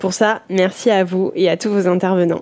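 The woman uses a normal speaking voice at a medium pitch. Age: 20s. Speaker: watchmaker. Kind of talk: listener voice message.

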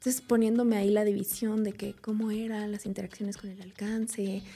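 The woman speaks at a moderate pace in a fairly high pitch. Background noise is noticeable. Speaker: food engineer and nutrition communicator. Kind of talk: interview.

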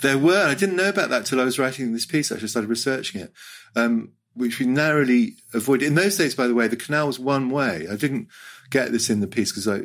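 In a British accent, a man with a medium pitch talks at a fairly quick pace with lively intonation, on a very clean recording with a silent background. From Hong Kong. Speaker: writer. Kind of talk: casual chat.

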